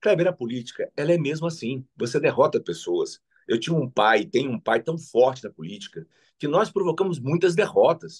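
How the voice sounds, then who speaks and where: A man's fairly high voice with lively intonation, some vocal fry and a moderate pace. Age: 60s. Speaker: politician. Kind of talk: interview.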